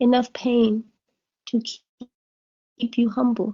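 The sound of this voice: Speaking at a very slow pace, a woman has a fairly high pitch, a dark, mellow tone and little pitch movement.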